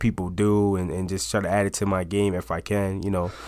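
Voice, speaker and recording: Someone with an American accent talks at a fairly quick pace in a plain, everyday voice, recorded very cleanly with a silent background. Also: man. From upstate New York, Auburn. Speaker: college football player. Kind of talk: casual interview.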